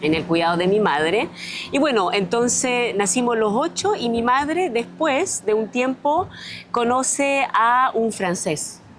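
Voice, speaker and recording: Noticeable background noise sits behind a woman speaking at a fairly slow pace and fairly high pitch. Her loudness stays very even while her pitch swings very widely. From France (raised from age 6 to 21), born on Easter Island, Chile. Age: 50s. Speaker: mayoral candidate. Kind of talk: interview.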